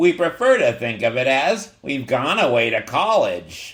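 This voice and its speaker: Putting on a gruff character voice, a man speaks at a moderate pace in a fairly high pitch with very wide pitch swings. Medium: read story. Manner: sneering, gruff.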